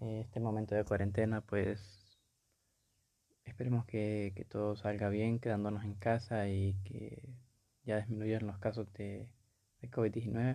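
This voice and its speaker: A dark, mellow tone with monotone, flat intonation, a fairly slow pace and long, frequent pauses. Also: man, fairly low pitch for a man. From Honduras. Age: 20s. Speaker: podcaster. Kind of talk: solo monologue. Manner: hesitant, many fillers.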